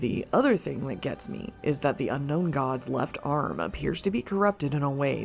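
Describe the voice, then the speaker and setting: At a fairly quick pace, the speech runs over music in the background. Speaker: gaming lore video creator. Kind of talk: scripted narration.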